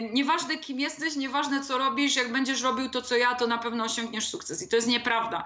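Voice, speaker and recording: Audible room echo surrounds a woman with a high pitch. Her intonation stays fairly even. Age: 30s. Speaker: copywriter and blogger. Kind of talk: casual interview.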